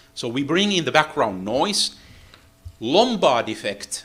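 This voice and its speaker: Speaking with a non-native accent, a man at medium pitch moves at a fairly slow pace while his voice makes very wide pitch swings. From Finland. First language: Finnish. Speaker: acoustics engineer, seminar lecturer. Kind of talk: technical lecture. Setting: lecture hall with interpreter. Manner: halting, with many fillers.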